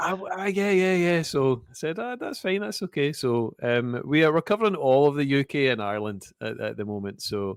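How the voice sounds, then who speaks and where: Talking at a fairly quick pace with hardly any pauses, a man with a Scottish accent makes very wide pitch swings. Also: fairly high pitch for a man. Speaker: podcast host. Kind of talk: interview.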